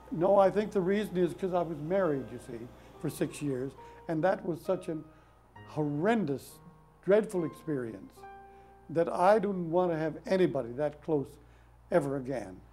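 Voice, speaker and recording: Over music in the background, a man talks at a high pitch and a moderate pace, with lively intonation and long, frequent pauses. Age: 80s+. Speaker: performer, poet, mime, author. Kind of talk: interview answer.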